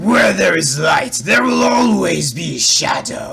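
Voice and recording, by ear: A man is doing a put-on character voice. It sounds raspy.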